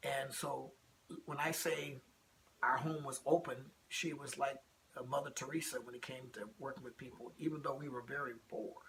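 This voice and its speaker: In a plain, everyday voice with an American accent, the speaker keeps a moderate pace and fairly even intonation, though loudness swings widely. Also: man, fairly high pitch for a man. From US Midwest, Rockford, Illinois. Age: 60s. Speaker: interviewee. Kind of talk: interview. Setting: at home.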